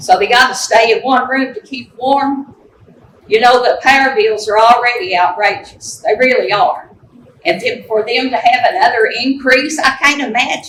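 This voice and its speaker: A woman with an Appalachian accent, high pitch and lively intonation at a moderate pace, with noticeable background noise. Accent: Appalachian Kentucky. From eastern Kentucky, Letcher County. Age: 70s. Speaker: resident giving public comment. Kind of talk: public comment testimony. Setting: public meeting room with audience. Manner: impassioned.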